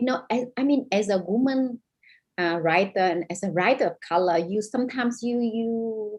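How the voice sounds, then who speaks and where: This woman has a Vietnamese accent and fairly high pitch. She talks at a moderate pace with ordinary pitch variation. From northern Vietnam. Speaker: novelist. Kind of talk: panel discussion.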